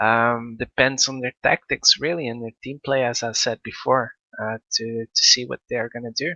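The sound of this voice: Dry and close with no echo, a man's bright, sharp voice moves at a moderate pace with fairly even intonation. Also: medium pitch for a man.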